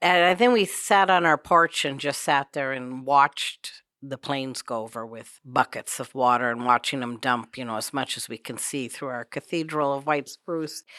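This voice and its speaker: In a very clean recording with a silent background and a dry, close sound with no echo, a woman with a very deep, low voice talks at a moderate pace, showing ordinary pitch variation and big swings in loudness. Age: 60s. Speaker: homeowner recounting wildfire near home. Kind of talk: recorded personal story conversation. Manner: casual, conversational.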